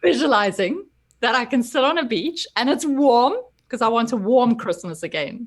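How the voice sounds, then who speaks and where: At a moderate pace, a woman talks in a high pitch with lively intonation. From South Africa. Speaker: personal development coach. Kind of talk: interview chat.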